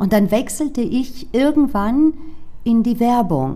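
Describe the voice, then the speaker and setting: A woman with a Greek accent talks at a moderate pace over noticeable background noise. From Frankfurt am Main, Germany. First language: Greek (speaking German). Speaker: sales trainer and former startup founder. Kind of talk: interview.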